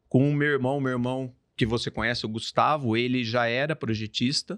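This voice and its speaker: A man at a moderate pace, medium pitch, fairly even intonation, with a Mato Grosso accent, in a dry, close sound with no echo. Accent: Mato Grosso accent, noticeable. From Brazil, Mato Grosso (born São Paulo). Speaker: construction company owner. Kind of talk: podcast interview. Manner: casual, storytelling.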